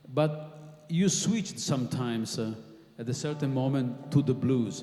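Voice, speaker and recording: A man's fairly high voice with an Italian accent, ordinary pitch variation and a fairly slow pace, amid noticeable background noise and audible room echo. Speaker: guitarist and interviewer. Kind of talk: interview on stage. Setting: stage with audience. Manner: halting.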